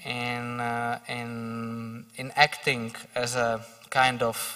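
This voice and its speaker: Against a quiet background, a man talks with a Slovak accent. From Slovakia. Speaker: parliamentary official; speaker. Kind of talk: panel discussion. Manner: halting. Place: stage. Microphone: handheld.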